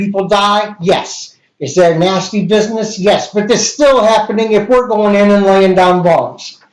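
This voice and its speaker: A man speaks loudly at a fairly slow pace, his pitch high for a man. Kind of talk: casual chat. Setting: live stream.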